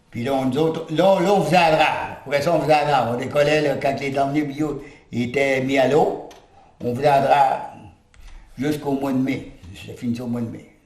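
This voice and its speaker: A man speaks at a fairly quick pace in a medium pitch with ordinary pitch variation, over noticeable background noise and audible room echo. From northwestern New Brunswick, Restigouche area, partly raised in Montreal. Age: 80s+. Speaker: retired lumberjack and log driver. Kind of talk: oral history interview. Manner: halting, with many filler words.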